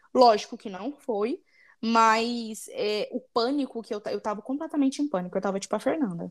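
An unremarkable speaking voice from a woman with a fairly high pitch and ordinary pitch variation comes at a moderate pace, on a very clean recording with a silent background. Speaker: podcast co-host. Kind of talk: casual chat.

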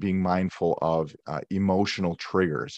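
In an American accent, a man speaks at a very deep, low pitch. The sound is dry and close with no echo, and the background is quiet. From US Midwest, Milwaukee, Wisconsin. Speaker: police negotiator. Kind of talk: interview conversation.

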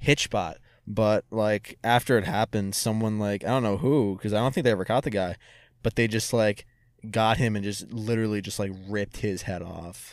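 On a very clean recording with a silent background, a man speaks in an unremarkable speaking voice at a fairly low pitch, with fairly even intonation and a moderate pace. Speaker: podcast co-host. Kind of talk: casual chat. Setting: in a parked car.

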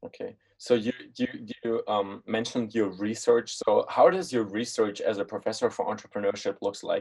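With a German accent, a man speaks at a moderate pace. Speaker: podcast host. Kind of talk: interview.

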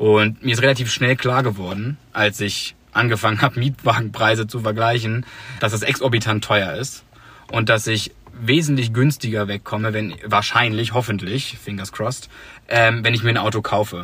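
An unremarkable speaking voice from a man, medium in pitch, with fairly even intonation and a moderate pace. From northern Germany, Hamburg. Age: 20s. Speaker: podcast host, exchange student. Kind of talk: casual chat. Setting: in a parked car.

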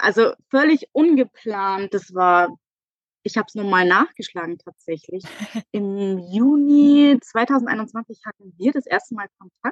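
Speaking at a very slow pace, a woman with a fairly high pitch uses lively intonation and big swings in loudness, in a dry, close sound with no echo. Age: 30s. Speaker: virtual assistant. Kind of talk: casual interview. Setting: in-person studio.

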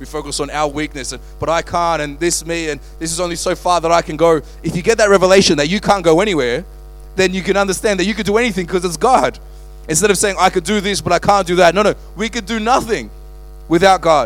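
With noticeable background noise behind him, a man talks at a very fast pace in an animated, passionate tone and a high pitch. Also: ordinary pitch variation. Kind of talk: sermon. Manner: animated, rhetorical, building with repeated questions and emphatic repetition; passionate, preacherly, driving points home with punchy short phrases.

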